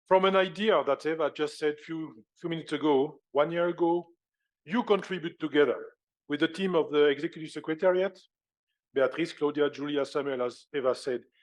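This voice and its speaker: Against a quiet background, a man with a French accent and a fairly high pitch speaks at a fairly quick pace with fairly even intonation. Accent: French accent, self-described as horrible. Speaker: conference chair. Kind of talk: conference opening speech. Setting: stage with audience. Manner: formal.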